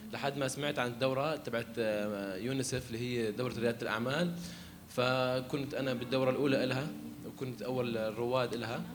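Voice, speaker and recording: Over noticeable background noise and audible room echo, a man of medium pitch speaks at a moderate pace with fairly even intonation. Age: 20s. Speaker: barber and entrepreneurship facilitator. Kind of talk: panel talk. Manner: halting.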